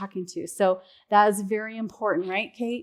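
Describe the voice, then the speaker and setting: The recording is very clean, with a silent background, as a woman speaks at a moderate pace. She has a plain, everyday voice, medium pitch and ordinary pitch variation. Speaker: conference speaker, Salesforce administrator, former music teacher. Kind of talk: conference talk. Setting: stage with audience. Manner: casual, many fillers.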